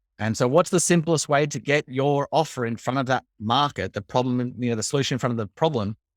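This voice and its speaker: A man with an Australian accent talks at a very fast pace with hardly any pauses, his pitch medium and its variation ordinary. The recording is very clean, with a silent background and a dry, close sound with no echo. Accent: warm Australian. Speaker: marketing coach. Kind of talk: interview.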